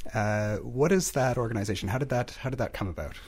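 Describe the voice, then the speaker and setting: The man's voice comes across somewhat breathy and medium in pitch. He talks fairly quickly. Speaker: podcast host. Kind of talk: interview.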